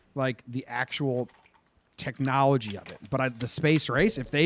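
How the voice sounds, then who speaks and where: A man's voice with a slight New Jersey accent. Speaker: movie review podcast host. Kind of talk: casual chat.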